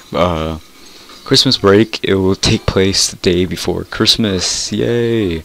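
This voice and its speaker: The speech goes at a very slow pace amid noticeable background noise. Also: man, very deep, low pitch for a man, ordinary pitch variation. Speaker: gaming YouTuber. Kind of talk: casual gaming video commentary. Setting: screen-recorded gameplay with mic. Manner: rambling, halting, informal.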